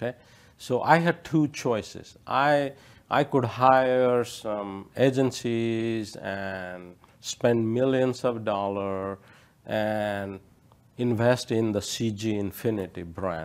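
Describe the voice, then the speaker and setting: At a very slow pace, a man speaks in a medium-pitched voice. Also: ordinary pitch variation. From India. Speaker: tech company president. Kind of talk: interview.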